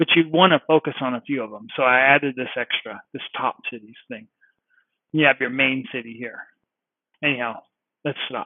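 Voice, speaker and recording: The speech moves at a moderate pace with long, frequent pauses. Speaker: web designer giving software demo. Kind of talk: software demo walkthrough. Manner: enthusiastic, halting with repetitions.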